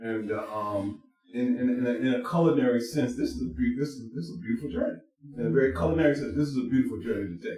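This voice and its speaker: This man speaks at a very fast pace and a medium pitch. His intonation is lively. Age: 60s. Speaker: vegan restaurant crew member. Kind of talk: casual podcast chat.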